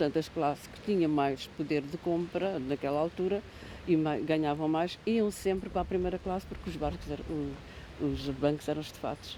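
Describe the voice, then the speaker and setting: Her pitch is very deep and low, with ordinary variation. This woman talks at a fairly quick pace. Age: 60s. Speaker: interviewee in a student documentary, former commuter. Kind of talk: interview testimony, reminiscing. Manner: halting, with hesitations and self-corrections.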